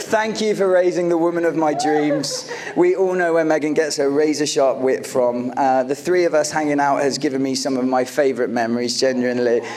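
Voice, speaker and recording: Over noticeable background noise, a man with an American accent speaks at a fairly high pitch with ordinary pitch variation. He keeps a very even loudness and hardly any pauses. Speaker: groom. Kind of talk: wedding speech. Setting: wedding reception with audience and microphone. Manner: warm, occasionally halting.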